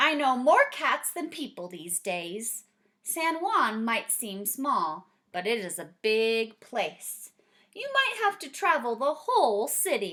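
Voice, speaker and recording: A put-on character voice with very wide pitch swings at a fairly slow pace. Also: woman, high pitch for a woman. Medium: read story.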